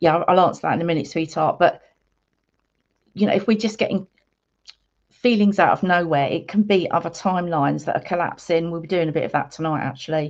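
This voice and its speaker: A woman with an English accent and a fairly low pitch talks at a very fast pace with long, frequent pauses and ordinary pitch variation. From England. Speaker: spiritual healer and meditation guide. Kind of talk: live stream chat with viewers. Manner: casual, chatty.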